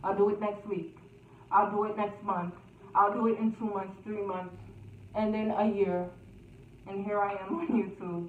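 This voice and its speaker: In a room with audible echo and noticeable background noise, a woman at medium pitch speaks at a moderate pace in a monotone, flat intonation with long, frequent pauses. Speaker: YouTuber. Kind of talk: storytime vlog. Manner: loud.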